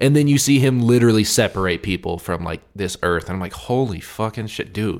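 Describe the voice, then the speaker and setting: In a plain, everyday voice, a man with a fairly low pitch and lively intonation talks at a fairly quick pace with hardly any pauses, on a very clean recording with a silent background. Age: 20s. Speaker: MMA podcast co-host. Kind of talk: casual chat. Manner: casual, filler-heavy.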